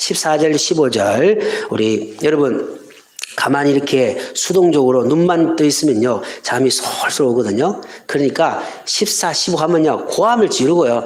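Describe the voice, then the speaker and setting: A man's fairly high voice at a fairly slow pace, very even in loudness, with audible room echo and noticeable background noise. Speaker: pastor. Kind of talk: sermon.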